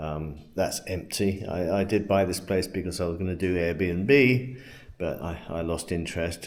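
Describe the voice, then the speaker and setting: Over audible room echo, a man with a British accent speaks at a very deep, low pitch. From England. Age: 70s. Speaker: retired expat vlogger. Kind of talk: casual vlog monologue. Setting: at home. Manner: halting, many fillers and repeats.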